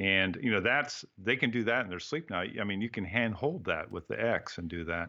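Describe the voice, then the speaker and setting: A man speaks in a plain, everyday voice, his fairly low pitch carried by lively intonation. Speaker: photographer, writer and teacher. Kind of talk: casual interview.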